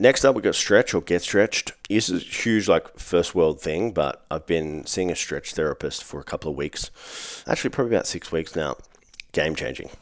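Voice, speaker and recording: A man with an Australian accent, very deep in pitch, at a moderate pace. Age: 30s. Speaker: fitness coach. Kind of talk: solo podcast monologue. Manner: casual, profane.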